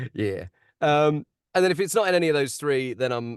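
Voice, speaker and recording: A man speaks at a fairly quick pace with an Estuary accent. The sound is dry and close with no echo, over a quiet background. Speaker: audiobook narrator. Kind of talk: webinar discussion. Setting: video call.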